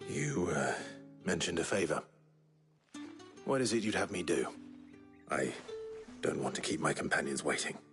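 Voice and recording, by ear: A man does a put-on character voice at extremely low pitch with a fairly bright tone and lively intonation. He keeps a moderate pace broken by long, frequent pauses, with faint music in the background.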